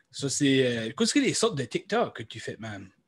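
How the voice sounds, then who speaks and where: Over a silent background in a very clean recording, a man with a fairly high pitch talks at a fairly quick pace with an Acadian accent. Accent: Acadian French (chiac). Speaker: podcast co-host. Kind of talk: casual chat.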